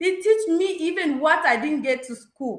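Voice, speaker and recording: A woman with a non-native accent speaks at a fairly slow pace. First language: not English. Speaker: business testimonial speaker. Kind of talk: testimony.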